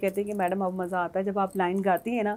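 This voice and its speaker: A woman's medium-pitched voice in a very clean recording against a silent background. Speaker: singer and former model. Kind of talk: TV talk show interview.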